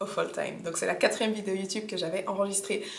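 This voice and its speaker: A woman's medium-pitched voice carries audible room echo along with noticeable background noise. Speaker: fitness coach and vlogger. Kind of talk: casual vlog chat. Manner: animated, informal.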